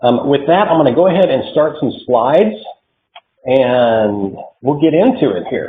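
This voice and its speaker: Speaking with an American accent, a man uses a fairly high pitch and lively intonation. His pace is moderate. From Oklahoma. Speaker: military support program consultant. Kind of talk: online presentation. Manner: hesitant, many fillers.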